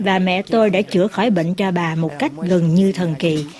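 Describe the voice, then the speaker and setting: Over noticeable background noise, a woman of medium pitch speaks at a fairly slow pace. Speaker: voice-over translator. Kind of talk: translated voice-over.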